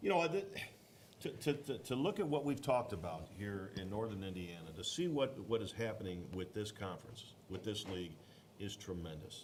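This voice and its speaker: A man with an American accent, fairly low in pitch, lively in intonation, at a moderate pace, with audible room echo. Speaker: youth football regional director. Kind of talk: bracket reveal show commentary. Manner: loud.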